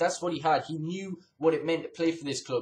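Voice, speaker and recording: The voice belongs to a man and is fairly high in pitch. There is some breathiness to it. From England. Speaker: gaming YouTuber and football fan. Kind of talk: angry rant. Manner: indignant, ranting, emphatic. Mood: frustrated, critical. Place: home room. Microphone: webcam.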